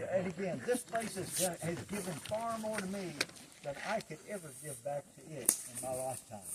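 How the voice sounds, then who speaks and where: Amid noticeable background noise, a man with an American accent talks at a moderate pace in a high pitch with lively intonation. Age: 70s. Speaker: environmental activist and hike leader. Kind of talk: outdoor group address. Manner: halting.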